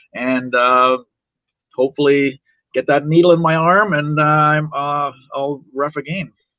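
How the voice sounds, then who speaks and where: With an Ontario accent, a man speaks at a fairly high pitch using fairly even intonation. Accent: Canadian (Ontario). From Toronto, Canada. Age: 60s. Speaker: wrestling referee. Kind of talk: podcast interview. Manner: halting.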